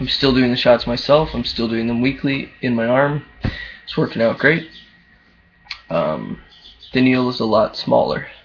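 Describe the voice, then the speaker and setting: A man's speech with long, frequent pauses over noticeable background noise. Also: moderate pace. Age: young. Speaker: vlogger. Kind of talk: casual video diary. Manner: hesitant, many fillers.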